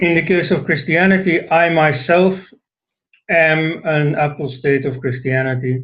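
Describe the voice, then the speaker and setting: A somewhat breathy man with a Dutch accent at a fairly slow pace. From Flanders, Belgium. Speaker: author and scholar. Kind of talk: talk to an online audience. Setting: online session. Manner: hesitant, with many fillers.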